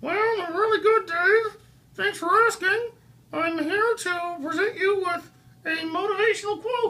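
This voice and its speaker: A cartoonish character voice pitched extremely high. It moves at a moderate pace. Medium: puppet. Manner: upbeat, polite.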